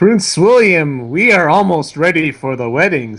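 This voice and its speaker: Using a put-on character voice, the speaker moves at a moderate pace with very wide pitch swings. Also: man, fairly high pitch for a man. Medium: read story. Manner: meek, deferential.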